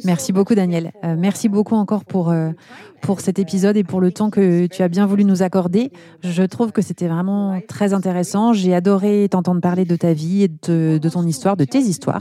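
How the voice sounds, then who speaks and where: A woman with a plain, everyday voice talks at a moderate pace, her medium pitch carrying fairly even intonation at very even loudness. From eastern France, Besançon. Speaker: podcast host and brand founder. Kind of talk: interview.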